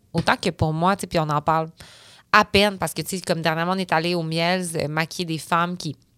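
In a very clean recording with a silent background and a dry, close sound with no echo, a woman with an unremarkable speaking voice talks at a fairly low pitch and a fairly quick pace. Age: 30s. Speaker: entrepreneur, company founder. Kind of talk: casual interview chat.

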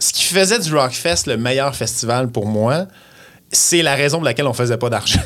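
A man in a Quebec accent talks at a fairly slow pace and medium pitch, with lively intonation and very even loudness. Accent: Québécois French. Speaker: radio host. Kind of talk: casual chat.

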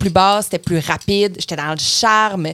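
Heard in a dry, close sound with no echo, a woman speaks at medium pitch with a Quebec accent. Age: 20s. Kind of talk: casual chat.

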